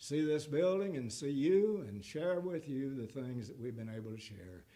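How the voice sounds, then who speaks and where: Over audible room echo, a man with a dark, mellow tone and medium pitch speaks at a moderate pace, his pitch swinging very widely. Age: 80s+. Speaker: guest preacher, former pastor. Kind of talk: sermon; closing remarks to congregation. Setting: church.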